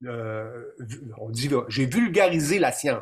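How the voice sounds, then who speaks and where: With a Quebec accent, a man speaks in very wide pitch swings. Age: 50s. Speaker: deer hunting expert and documentary maker. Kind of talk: interview on a live stream. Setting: live stream.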